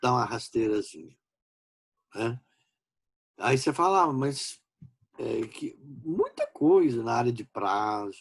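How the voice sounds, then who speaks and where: Speaking very slowly, a man leaves long pauses again and again. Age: 60s. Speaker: law professor. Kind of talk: lecture. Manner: informal, conversational.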